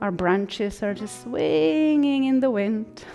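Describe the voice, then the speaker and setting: Music plays behind a woman speaking at a very slow pace. Her pitch is fairly high and her tone calm and gentle. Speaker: yoga instructor. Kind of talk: guided yoga class instruction. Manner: calm, gentle.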